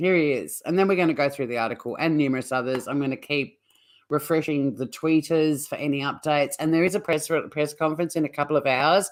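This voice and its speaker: In a very clean recording with a silent background, a woman with an Australian accent talks at a very fast pace in a very deep, low voice with ordinary pitch variation. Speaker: true crime streamer, former criminal lawyer. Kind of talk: live stream commentary. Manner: casual, chatty.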